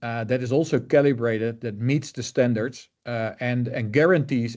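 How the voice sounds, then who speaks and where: A man with a Dutch accent speaks at a medium pitch with fairly even intonation. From Netherlands. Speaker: color management expert. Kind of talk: interview. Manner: hesitant, many fillers.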